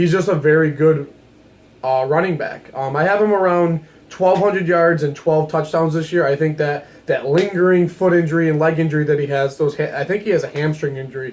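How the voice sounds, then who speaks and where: Quick-paced and fairly high in pitch, a man talks with fairly even intonation. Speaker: sports video creator. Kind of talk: casual sports commentary monologue. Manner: fast.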